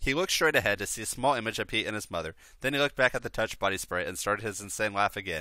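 Lively intonation runs through this unforced reading voice.

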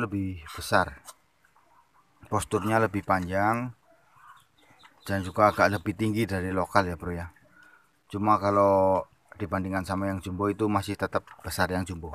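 The recording is dry, with no echo. A man talks at a moderate pace in a fairly low, monotone and flat voice. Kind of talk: casual vlog chat. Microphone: phone near.

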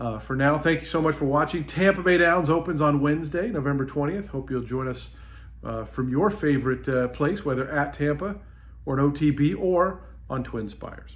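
A man talks at a fairly quick pace in a somewhat breathy voice with ordinary pitch variation. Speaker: travel vlogger. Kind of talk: casual vlog chat. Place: home room. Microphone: phone near.

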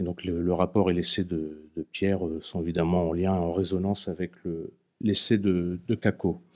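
Flat, monotone delivery at a moderate pace over a quiet background. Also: man, very deep, low pitch for a man. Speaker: moderator. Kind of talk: moderated public talk. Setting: stage with audience. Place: meeting room. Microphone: podium.

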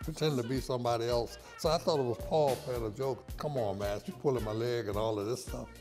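Clear music plays in the background as a man talks at a moderate pace with ordinary pitch variation. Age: 80s+. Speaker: saxophonist. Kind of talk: interview. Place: office.

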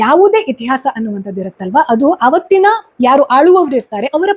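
In a dry, close sound with no echo, a woman's high pitch makes very wide swings. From Karnataka, Sirsi (Uttara Kannada). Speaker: YouTube commentator. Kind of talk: opinion monologue.

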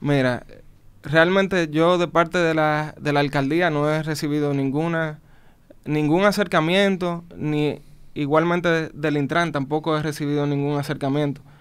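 This man's voice sits fairly high. His delivery is fairly slow. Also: fairly even intonation. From Dominican Republic. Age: young. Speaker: business manager; guest. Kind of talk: interview. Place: studio. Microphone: studio mic.

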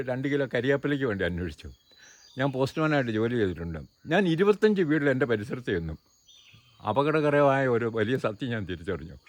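A man talks at a medium pitch. His pitch swings very widely. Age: 70s. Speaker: organic farmer and environmental activist. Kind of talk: interview monologue.

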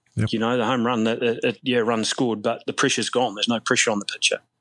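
Speaking with a New Zealand accent, a man uses a medium pitch and fairly even intonation. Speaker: softball coach and former player. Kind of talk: casual interview. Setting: remote call from abroad.

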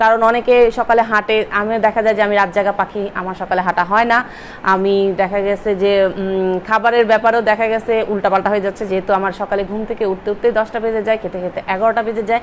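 A woman speaks with monotone, flat intonation. There is light background noise. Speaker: lifestyle vlogger. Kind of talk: casual vlog chat. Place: home room. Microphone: phone near.

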